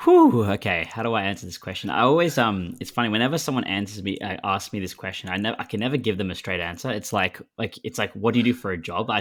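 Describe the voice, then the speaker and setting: With an Australian accent and a fairly low pitch, a man talks at a very fast pace with hardly any pauses. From Australia, Melbourne. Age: 20s. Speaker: podcast co-host, guest. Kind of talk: casual interview chat. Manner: laid back.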